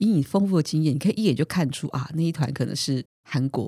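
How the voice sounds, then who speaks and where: In a dry, close recording with no echo, a woman with a very deep, low pitch and a dark, mellow tone sounds somewhat breathy, with lively intonation. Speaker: podcast host. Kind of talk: casual chat.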